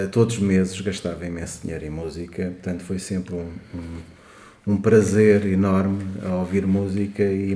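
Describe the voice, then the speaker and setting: A man with a fairly low pitch at a fairly slow pace, amid audible room echo and noticeable background noise. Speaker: podcast co-host. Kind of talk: casual chat.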